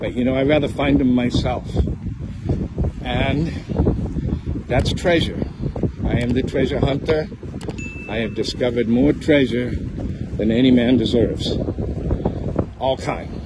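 Over loud background noise, a man talks at a fairly slow pace with long, frequent pauses and ordinary pitch variation, in a dry sound with no echo. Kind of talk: casual vlog chat. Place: beach. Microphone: phone near.

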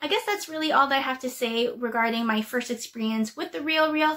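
A woman projects a raised voice at high pitch. Her tone is bright and sharp. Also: quiet background. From Canada. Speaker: YouTuber, casual clothing reseller; casual reseller. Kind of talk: casual vlog tutorial. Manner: hesitant, frequent um fillers. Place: home room. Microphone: webcam.

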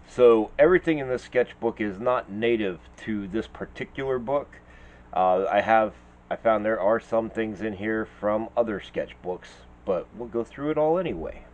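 Ordinary pitch variation marks a man talking at a moderate pace. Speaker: artist vlogger. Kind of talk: casual vlog chat. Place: home room.

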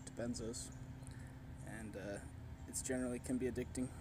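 Noticeable background noise runs under a man's voice, and the sound is dry with no echo. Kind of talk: casual vlog chat. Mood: calm, personal storytelling. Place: garden. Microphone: phone near.

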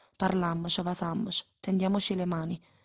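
Somewhat breathy and fairly low-pitched, a woman with a Neapolitan accent talks at a fairly quick pace in a monotone, flat intonation. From Naples, Italy.

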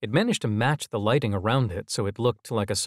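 The reading voice here is natural.

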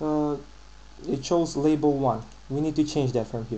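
A man's somewhat breathy voice at a moderate pace. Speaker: programming tutorial maker. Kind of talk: screen-recorded software tutorial.

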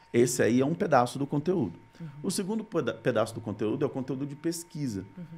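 The voice races at a very fast pace with very wide pitch swings. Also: man. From Brazil, Rio Grande do Norte (Natal); Rio Grande do Norte, Brazil. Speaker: content creator, former TV journalist. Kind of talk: casual interview. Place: studio. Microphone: studio mic.

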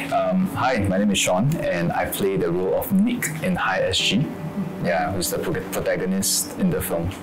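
A man speaks over clear music in the background. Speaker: actor in the film. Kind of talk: interview answer. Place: office.

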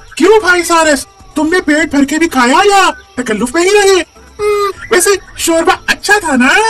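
A cartoonish character voice speaks at an extremely high pitch and a moderate pace, leaving long, frequent pauses. Faint music plays in the background. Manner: sly, mocking, falsely friendly.

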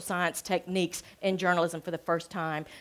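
A woman speaks with a Southern US accent. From US South. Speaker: journalism professor. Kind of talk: public talk. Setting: stage with audience. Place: cafe.

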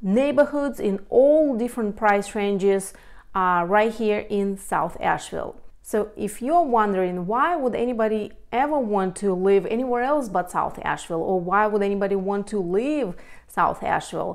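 With lively intonation and a moderate pace, a woman talks against a quiet background. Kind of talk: casual informative talk to camera. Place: home room. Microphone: lapel.

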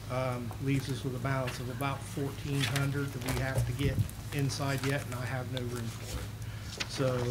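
Over loud background noise, a man speaks at a fairly slow pace. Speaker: city staff member reporting. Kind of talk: answer at public meeting. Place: hall. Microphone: podium.

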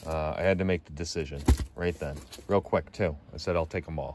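A man with an extremely low pitch speaks at a fairly quick pace, his tone slightly mellow and his intonation fairly even.

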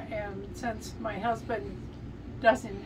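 A woman talks over noticeable background noise. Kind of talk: casual cooking tutorial chat. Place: kitchen. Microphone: camera far.

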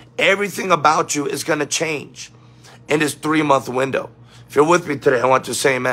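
Faint music plays behind a man whose pitch varies in an ordinary way. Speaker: preacher livestreaming. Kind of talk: sermon-style livestream talk. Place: home room. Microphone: phone near.

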